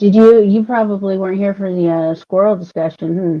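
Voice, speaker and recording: At a moderate pace, a woman talks in an unremarkable speaking voice. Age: 30s. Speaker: livestreamer. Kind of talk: casual chat. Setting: live stream.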